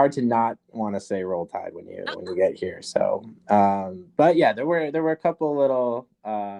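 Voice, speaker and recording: The speaker has a Minnesota accent and a moderate pace with hardly any pauses. Pitch swings very widely and loudness shifts a lot. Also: man, medium pitch for a man. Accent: Minnesota accent, clear O's. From southern Minnesota, US. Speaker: professor and documentary filmmaker. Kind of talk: podcast interview. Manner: hesitant, many fillers and restarts.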